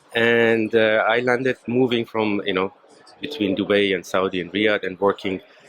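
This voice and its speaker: Noticeable background noise sits behind this man. He speaks at a fairly low pitch and moderate pace, with fairly even intonation. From Germany. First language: German. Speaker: media technology executive. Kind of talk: podcast interview. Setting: trade show stand. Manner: halting.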